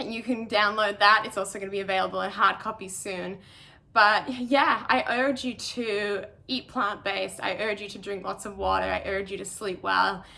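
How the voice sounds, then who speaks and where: With an Australian accent, a woman of medium pitch speaks at a moderate pace with ordinary pitch variation and big swings in loudness. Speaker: professional trail runner. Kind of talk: online talk.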